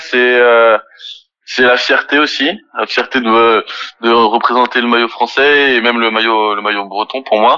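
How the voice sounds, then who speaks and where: A fairly slow, medium-pitched male voice. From France, Nantes. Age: 20s. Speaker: professional rugby player. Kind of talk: interview. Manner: halting.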